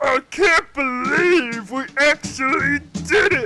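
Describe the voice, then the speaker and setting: A put-on character voice unfolds at a very slow pace. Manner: weird, put-on cartoon voice.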